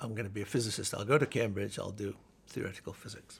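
This man talks at a very fast pace, his voice somewhat breathy. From northern England, Halifax, West Yorkshire. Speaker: neuroscience professor. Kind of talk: oral history interview.

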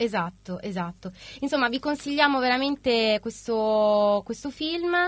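A woman with a fairly high pitch speaks fairly slowly, her intonation lively. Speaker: radio host. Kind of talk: casual radio chat. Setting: studio. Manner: animated.

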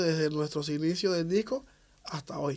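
A man speaks at a moderate pace with a high pitch. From Cuba, Havana. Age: 40s. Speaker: percussionist and bandleader. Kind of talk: radio interview. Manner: halting.

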